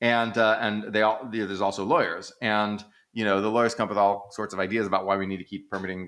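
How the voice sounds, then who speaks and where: In a very clean recording with a silent background, a man with an American accent and a fairly low pitch speaks at a fairly quick pace. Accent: slight Texas, creeps in at times. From Texas. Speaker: economist, podcast co-host. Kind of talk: casual discussion. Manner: animated, conversational with fillers.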